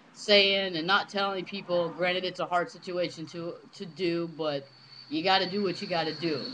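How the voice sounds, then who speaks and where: There is noticeable background noise behind this man. He speaks in a high voice at a moderate pace. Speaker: vlogger. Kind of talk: casual webcam monologue. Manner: casual, filler-heavy.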